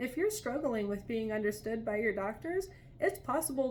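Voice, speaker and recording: A woman speaks with a fairly high pitch. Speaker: vlogger. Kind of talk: casual vlog monologue. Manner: fast.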